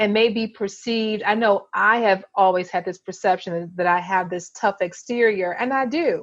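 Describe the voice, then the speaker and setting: Against a quiet background, a woman with a medium-pitched voice talks at a moderate pace with ordinary pitch variation. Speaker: podcast co-host; therapist. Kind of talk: casual chat.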